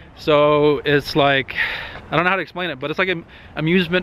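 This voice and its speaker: Noticeable background noise behind a man speaking fairly quickly, fairly high in pitch, with fairly even intonation. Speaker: car vlogger. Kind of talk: casual vlog talk. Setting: outdoors in the cold canyons.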